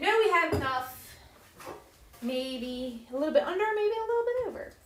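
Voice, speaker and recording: With an American accent, a woman speaks at a moderate pace in an extremely high pitch with very wide pitch swings, over noticeable background noise and audible room echo. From United States. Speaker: home baking livestreamer. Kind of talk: live baking stream chatting with viewers. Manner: casual, chatty.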